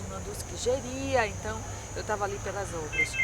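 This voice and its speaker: Moderately paced, soft-spoken speech from a woman, with room echo audible. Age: 30s. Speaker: psychologist. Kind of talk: interview testimony.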